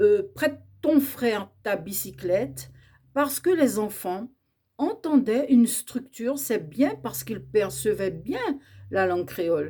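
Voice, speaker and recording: Very wide pitch swings and big swings in loudness mark this very slow delivery. The tone is dark and mellow, with vocal fry. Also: woman, fairly high pitch for a woman. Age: 60s. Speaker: educator on Creole language. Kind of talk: educational talk.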